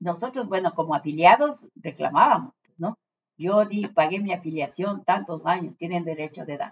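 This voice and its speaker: A fairly slow pace in an ordinary speaking voice. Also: woman. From Ecuador, Ambato (Andean highlands). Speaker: retired journalist. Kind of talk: interview.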